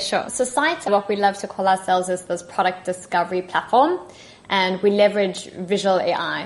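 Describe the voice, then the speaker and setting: A woman with a South African accent, medium in pitch, at a moderate pace with ordinary pitch variation. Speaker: tech partnership manager. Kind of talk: podcast interview. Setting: remote call.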